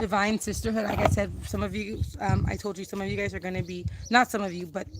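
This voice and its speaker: Noticeable background noise is present behind this woman. Her pace is fairly quick. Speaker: tarot card reader. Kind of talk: tarot reading to viewers. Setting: outdoors. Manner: fast.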